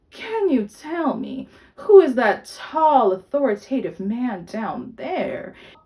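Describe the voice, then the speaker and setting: A woman uses a put-on character voice with a high pitch. Her pitch swings very widely, and her pace is fairly slow. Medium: read story. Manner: kind, measured.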